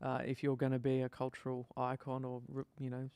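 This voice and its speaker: A man mumbles in a flat, monotone way against a quiet background. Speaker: band member hosting a music stream. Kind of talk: casual chat. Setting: live stream. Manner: mumbling; halting.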